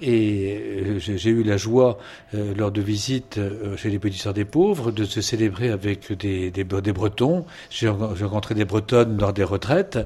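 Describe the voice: Speaking fairly slowly, a man with a fairly low pitch and a dark, mellow tone shows ordinary pitch variation.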